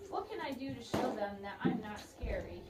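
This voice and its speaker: A woman uses a put-on character voice. There is a slight echo and loud background noise. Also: moderate pace. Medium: read story.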